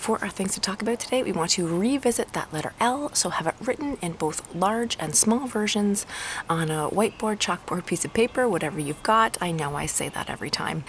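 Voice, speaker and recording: Noticeable background noise accompanies a woman speaking. She talks at a fairly quick pace with lively intonation. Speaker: homeschooling parent vlogger. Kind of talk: tutorial. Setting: outdoors on a walk. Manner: casual.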